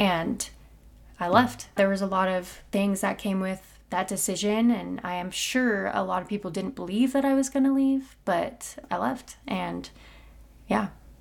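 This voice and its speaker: A woman with a plain, everyday voice talks at a fairly slow pace and medium pitch with ordinary pitch variation, on a very clean recording with a silent background. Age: 20s. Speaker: singer and musician. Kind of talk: casual interview.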